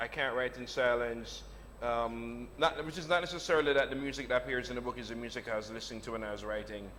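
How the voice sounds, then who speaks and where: With noticeable background noise and audible room echo, a man speaks very fast at a medium pitch with ordinary pitch variation. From Jamaica. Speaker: novelist. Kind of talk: on-stage interview conversation.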